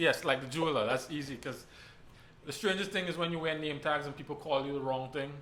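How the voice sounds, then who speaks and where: Speaking at a very fast pace with a Trinidadian accent, a man with a fairly high pitch holds a fairly even intonation amid audible room echo. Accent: Trinidadian, persistent. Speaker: church elder. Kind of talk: casual panel discussion.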